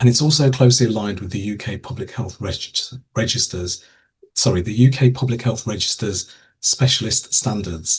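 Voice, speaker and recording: A man speaks at a medium pitch in a somewhat breathy voice with ordinary pitch variation. His loudness swings widely. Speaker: program director for public health. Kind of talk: online information webinar. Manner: fast.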